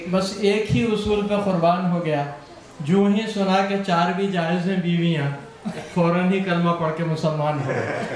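Audible room echo and light background noise surround a man whose high voice keeps a fairly even intonation. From Hyderabad, India. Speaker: joke teller at party. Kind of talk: joke telling at a private party. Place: home room.

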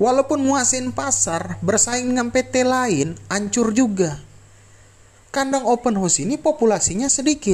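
This man's pitch is extremely high, and his intonation is lively. He talks at a fairly slow pace. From Indonesia. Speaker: poultry farmer and vlogger; vlogger. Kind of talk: tutorial. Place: farm machine. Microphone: phone near.

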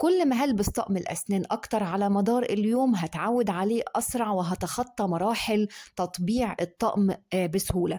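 Over a quiet background, a woman's voice has a dark, mellow tone, very even loudness, ordinary pitch variation and a moderate pace. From Egypt. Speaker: dentist. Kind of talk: tutorial. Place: home room. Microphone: phone near.

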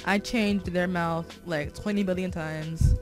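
Over music in the background, the speaker talks at a fairly slow pace with fairly even intonation. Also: woman. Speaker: digital artist. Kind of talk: tutorial voiceover. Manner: stutter; casual, self-deprecating.

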